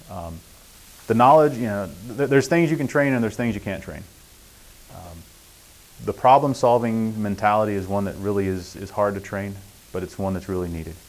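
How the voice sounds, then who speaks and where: The speech, in an American accent, moves at a fairly quick pace with ordinary pitch variation. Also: man. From US East Coast. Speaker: printing industry expert. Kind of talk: guest lecture. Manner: fast.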